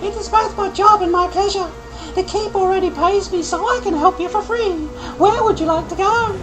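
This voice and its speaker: A squeaky, put-on character voice rattles along at a fairly quick pace over loud music in the background. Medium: game stream. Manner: friendly, talkative.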